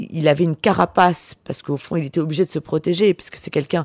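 A woman talks at a fairly quick pace. The sound is dry and close, with no echo. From Var, southern France (Porquerolles island). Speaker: author. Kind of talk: interview. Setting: hotel bar. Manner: halting.

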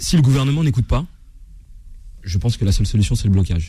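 The voice has a dark, mellow tone, somewhat breathy, with lively intonation. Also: man. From France, Seine-Saint-Denis. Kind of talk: heated debate.

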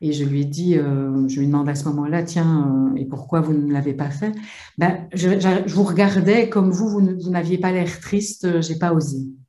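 There is audible room echo around this voice. A woman speaks with ordinary pitch variation. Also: fairly low pitch for a woman, moderate pace. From Belgium. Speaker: psychologist and psychotherapist. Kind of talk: webinar discussion.

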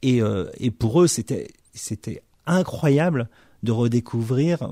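A man speaks with a dark, mellow tone at a medium pitch and with ordinary pitch variation. The recording is very clean, with a silent background. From Morocco, Algeria and Madagascar (French military family). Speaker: film director. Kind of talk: interview. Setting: distributor's office. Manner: halting, many repetitions.

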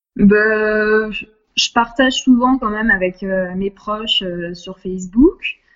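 At a very slow pace yet with hardly any pauses, a woman speaks in fairly even intonation at a fairly high pitch, her loudness swinging widely. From southern France, Nice. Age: 30s. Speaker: intensive care nurse. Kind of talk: interview. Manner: hesitant, many fillers.

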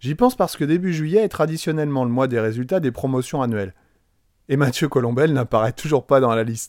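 A man with a fairly high pitch and lively intonation at a moderate pace, dry and close with no echo, on a very clean recording against a silent background. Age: 40s. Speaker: teacher trainer and podcast host. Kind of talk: personal monologue podcast.

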